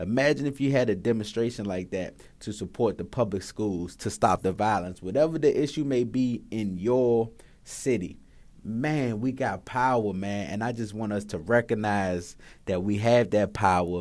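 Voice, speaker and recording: Very clean, with a silent background, the recording features a man with an American accent. His fairly low pitch shows ordinary pitch variation. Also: moderate pace. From Washington, D.C. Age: 30s. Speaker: podcast host. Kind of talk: casual monologue. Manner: animated; many fillers and hesitations.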